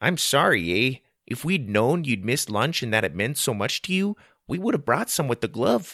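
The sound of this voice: In a put-on character voice, a man speaks at a moderate pace with a Canadian accent, a medium pitch, big pitch swings and a bright, sharp tone. The sound is dry and close with no echo, on a very clean recording with a silent background.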